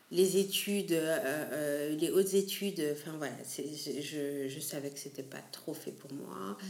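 A woman speaks at a very slow pace in a very deep, low voice with hardly any pauses, over audible room echo and noticeable background noise. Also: ordinary pitch variation, big swings in loudness. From Belgium, Antwerp region. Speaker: restaurant co-founder. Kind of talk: interview. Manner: hesitant, many repetitions.

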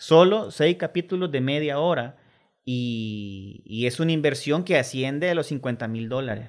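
A man with a Salvadoran accent speaks at a fairly slow pace. His pitch is fairly high and his intonation lively. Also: very clean recording, silent background. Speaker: film director. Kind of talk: radio interview.

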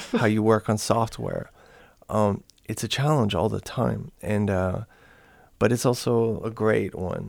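A man speaks at a fairly slow pace with a fairly low pitch. The recording is very clean, with a silent background. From Canada. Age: 40s. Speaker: musician and composer. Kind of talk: interview. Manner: halting, many fillers.

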